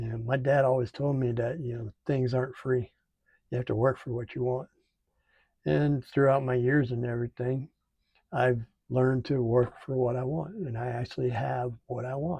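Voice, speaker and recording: In an American accent, a man speaks at a moderate pace with fairly even intonation and a dark, mellow, somewhat breathy tone, the sound dry and close with no echo. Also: medium pitch for a man. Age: 60s. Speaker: military veteran and channel host. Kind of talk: casual vlog monologue. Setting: home studio. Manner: halting, many fillers.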